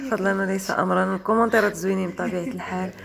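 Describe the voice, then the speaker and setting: A woman with a Moroccan accent, medium pitch, fairly quick pace, and noticeable background noise. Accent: Moroccan Arabic (Darija). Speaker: vlogger. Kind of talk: travel vlog narration.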